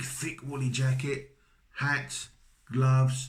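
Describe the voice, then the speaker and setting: A man with a slight Cockney accent speaks at a medium pitch in a somewhat breathy voice. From London, England. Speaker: vlogger, British husband of a Filipina. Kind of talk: casual advice monologue. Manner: hesitant, repeats words.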